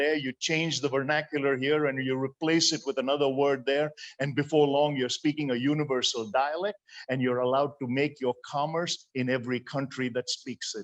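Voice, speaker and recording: A man speaks at a moderate pace with a fairly high pitch and an Indian accent. His intonation stays fairly even, with hardly any pauses. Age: 60s. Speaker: motivational speaker. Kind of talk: sermon.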